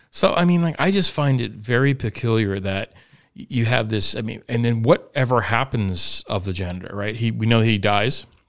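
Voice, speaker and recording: In a very clean recording with a silent background, a man with an ordinary speaking voice talks at a moderate pace, his medium pitch showing ordinary variation. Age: 40s. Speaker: podcast host. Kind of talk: casual chat. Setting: studio.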